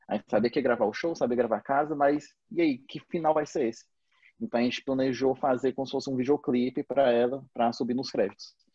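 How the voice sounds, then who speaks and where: Pitch varies in an ordinary way as the words pour out at a very fast pace. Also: man, medium pitch for a man. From Brazil, Fortaleza. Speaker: film director. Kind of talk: casual interview. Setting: video call.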